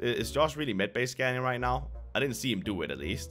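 Faint music plays in the background while a man talks at a fairly quick pace. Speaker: gaming youtuber. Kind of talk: casual gameplay commentary.

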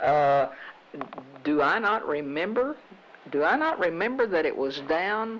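A woman's pitch swings very widely as she speaks at a fairly slow pace with long, frequent pauses. Her loudness stays very even over light background noise. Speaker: local TV talk show host. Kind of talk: interview. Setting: on location with portable camera. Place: office. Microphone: handheld.

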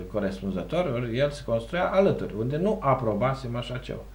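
At a moderate pace, a man talks with big swings in loudness. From Romania. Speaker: local councillor. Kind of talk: TV interview. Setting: TV studio. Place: studio. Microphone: lapel.

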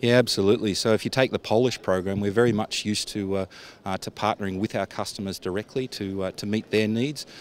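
A very fast-talking man with an Australian accent, fairly low in pitch and fairly even in intonation, on a dry recording with no echo and light background noise. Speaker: defence industry executive. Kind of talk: trade show interview. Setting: exhibition stand at trade show. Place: street. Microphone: handheld.

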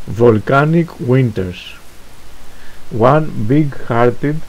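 Amid noticeable background noise, a man with a Greek accent talks at a medium pitch with ordinary pitch variation. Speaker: poet. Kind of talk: poetry reading.

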